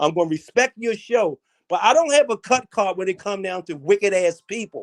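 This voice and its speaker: A man with a high pitch speaks at a fairly quick pace in an animated tone with lively intonation. The sound is dry and close with no echo, on a very clean recording with a silent background. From Baltimore, US East Coast. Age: 60s. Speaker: caller. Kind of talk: heated debate.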